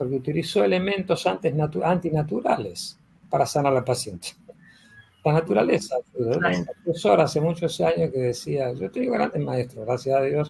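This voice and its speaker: A fairly high-pitched man at a fairly quick pace, with very wide pitch swings. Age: 70s. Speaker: physician and teacher of a health school. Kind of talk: conversational interview. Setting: live recorded online session.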